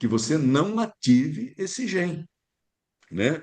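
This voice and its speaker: Pitch swings very widely in this man's speech. He talks at a fairly slow pace. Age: 60s. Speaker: physician. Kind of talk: casual chat.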